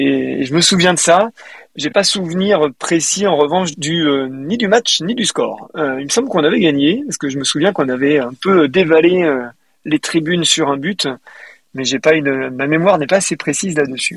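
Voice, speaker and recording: Using a moderate pace, a man with a fairly high pitch shows ordinary pitch variation. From western France, Deux-Sèvres. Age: 40s. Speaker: football supporter, small business manager. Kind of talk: casual interview. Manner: hesitant, many fillers.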